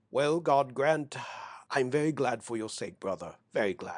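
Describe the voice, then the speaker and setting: At a medium pitch, a man puts on a character voice. He speaks at a moderate pace against a quiet background. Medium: read story. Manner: anxious.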